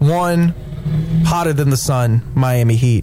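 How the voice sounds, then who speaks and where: With music in the background, a man speaks slowly-ish at a fairly high pitch, using ordinary pitch variation. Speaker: radio host. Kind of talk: sports radio talk show banter. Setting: studio. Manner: animated, enthusiastic.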